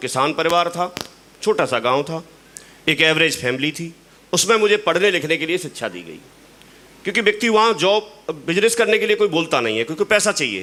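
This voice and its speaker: A man speaks with lively intonation. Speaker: motivational speaker at business event. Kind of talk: motivational talk.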